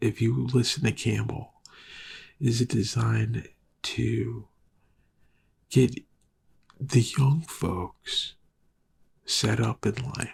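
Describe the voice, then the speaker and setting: A man speaks at a very slow pace, his pitch medium and his intonation fairly even. Vocal fry runs through his voice. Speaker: film podcast host. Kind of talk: casual monologue. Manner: halting.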